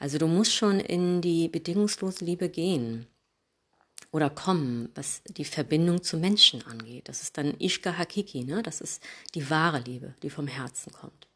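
A woman with an unremarkable speaking voice talks at a moderate pace, her pitch fairly low and her intonation lively. Her loudness swings widely on a very clean recording with a silent background. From Hamburg, northern Germany. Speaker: yoga teacher. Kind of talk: podcast monologue, advice.

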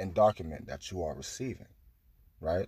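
At a moderate pace, a man with a very deep, low pitch and a dark, mellow tone speaks with lively intonation and vocal fry. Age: 20s. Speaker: spiritual podcaster. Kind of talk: spiritual monologue.

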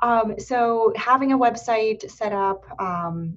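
Here a woman speaks with an American accent and fairly even intonation. Noticeable background noise can be heard. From Erie, Pennsylvania. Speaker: podcast host. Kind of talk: casual interview.

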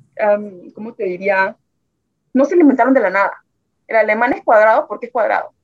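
Over dry, close sound with no echo, a woman speaks fairly quickly in a normal speaking voice, fairly high in pitch with ordinary pitch variation. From Nicaragua, Tipitapa near Managua. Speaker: immigrant sharing life story. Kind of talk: interview testimony.

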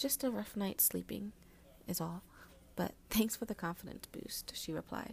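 An unforced voice reading aloud

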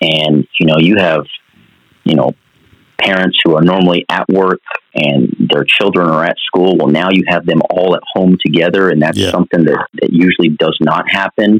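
A man speaks with a very deep, low pitch at a moderate pace. His intonation is fairly even and his loudness very even. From eastern New Mexico (Portales). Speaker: college basketball coach. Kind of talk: podcast interview.

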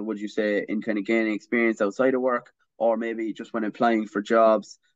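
Hardly any pauses, in an Irish accent. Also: man. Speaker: student podcast host. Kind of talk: casual interview. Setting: video call.

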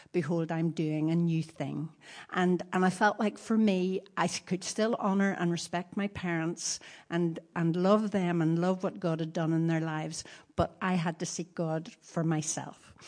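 Against a quiet background, a woman with an unremarkable speaking voice talks at a fairly slow pace and fairly low pitch, with fairly even intonation. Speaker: preacher's wife. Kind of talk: testimony.

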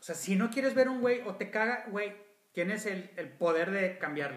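A man with a high pitch speaks at a moderate pace with lively intonation, and the room echo is audible. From Monterrey, Mexico. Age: 40s. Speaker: podcast co-host. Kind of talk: casual chat.

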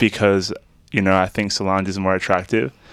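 The recording is very clean with a silent background, carrying a man's voice with an Australian accent. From Australia, Melbourne southeast suburbs. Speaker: musician. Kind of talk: casual chat.

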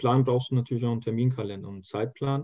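The speaker is a man. He talks at a medium pitch. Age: 20s. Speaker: youth association leader and student. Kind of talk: interview. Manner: hesitant, many filler sounds.

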